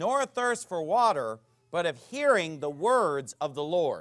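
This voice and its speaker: With an American accent and lively intonation, a man speaks against a quiet background. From United States. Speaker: pastor. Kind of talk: sermon. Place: church.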